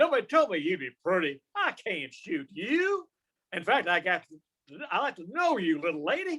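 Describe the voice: This put-on character voice has a fairly bright tone with a slightly husky edge, swinging very widely in pitch at a moderate pace. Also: man, high pitch for a man.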